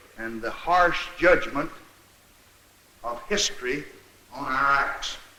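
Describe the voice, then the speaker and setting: A man with an American accent speaks at a very slow pace in a solemn tone with lively intonation. Noticeable background noise runs underneath. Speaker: president addressing a joint session of congress. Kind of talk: formal political speech, archival address. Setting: archival newsreel recording, chamber with audience. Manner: slow, solemn, deliberate.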